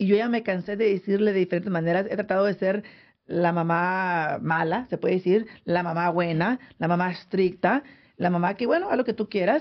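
A woman talks at a fairly quick pace in an unremarkable speaking voice, her medium pitch showing ordinary variation. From San José, California. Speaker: radio host. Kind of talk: casual radio chat. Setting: studio.

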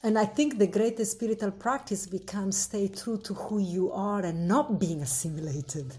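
Dark, mellow and somewhat breathy delivery in an Italian accent, with lively intonation, a moderate pace and hardly any pauses. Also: woman, medium pitch for a woman.

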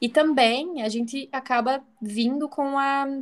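Fairly even intonation in a Santa Catarina accent. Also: woman. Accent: Santa Catarina accent, noticeable. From Brazil, interior of Santa Catarina. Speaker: psychologist. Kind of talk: casual chat.

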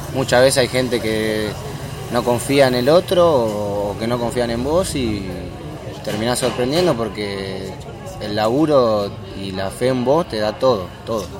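A man's medium-pitched voice at a fairly slow pace, with ordinary pitch variation, audible room echo and noticeable background noise. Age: 20s. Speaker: footballer. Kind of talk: interview. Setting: café.

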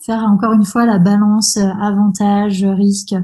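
At a very slow pace, a woman speaks somewhat breathily in a medium pitch with a dark, mellow tone. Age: 30s. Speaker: osteopath. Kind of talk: casual interview. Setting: podcast interview.

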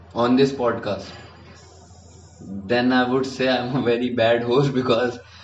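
Amid noticeable background noise, a man speaks at a medium pitch in a monotone, flat way, at a fairly slow pace with long, frequent pauses. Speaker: podcast host, university student. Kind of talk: casual chat.

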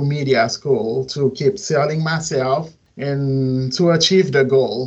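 A man with a fairly high pitch talks at a very slow pace. His intonation stays fairly even. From Haiti, Port-au-Prince. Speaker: singer-songwriter and media student. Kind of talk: interview answers. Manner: halting.

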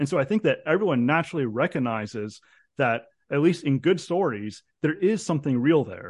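Against a quiet background, a man with a plain, everyday voice and a fairly high pitch talks at a fairly quick pace with lively intonation. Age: 30s. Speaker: philosophy PhD candidate. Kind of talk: interview.

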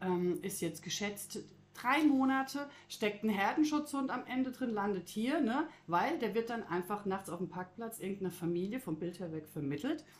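A woman's medium-pitched voice with very wide pitch swings at a moderate pace. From Croatia. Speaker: animal shelter staff. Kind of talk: casual chat.

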